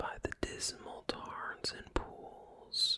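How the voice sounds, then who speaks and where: A man whispers at a very slow pace. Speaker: ASMR creator. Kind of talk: poetry reading. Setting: close binaural microphone. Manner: whispered; soft-spoken, slow.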